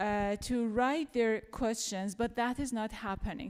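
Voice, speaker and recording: On a very clean recording with a silent background, a woman with a non-native accent speaks at a fairly slow pace, her pitch fairly high with ordinary variation. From Iran, Tehran. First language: Farsi. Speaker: journalist and panel facilitator. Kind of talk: post-show panel discussion. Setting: theater stage with audience.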